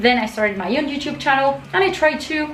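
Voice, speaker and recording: Lively intonation marks this voice with a Spanish accent. Background noise is noticeable, and room echo is audible. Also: woman. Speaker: YouTuber, metal music commentator. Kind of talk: casual vlog monologue. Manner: halting, with fillers.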